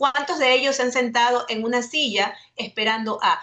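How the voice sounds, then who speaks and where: A woman speaks at a moderate pace in a high pitch with ordinary pitch variation, and noticeable background noise is present. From Ecuador. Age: 40s. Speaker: webinar panelist, communications lecturer. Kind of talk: webinar presentation.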